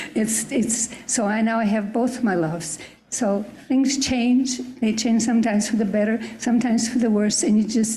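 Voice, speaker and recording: A woman speaks with fairly even intonation and very even loudness, amid audible room echo and noticeable background noise. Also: fairly high pitch for a woman, moderate pace. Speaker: church member. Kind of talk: group discussion.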